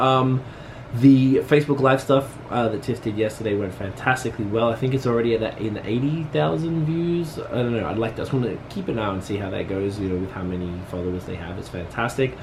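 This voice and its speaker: Over noticeable background noise, a medium-pitched man talks at a very fast pace with lively intonation. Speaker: vlogger and business owner. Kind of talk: casual vlog talk to camera. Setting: at home.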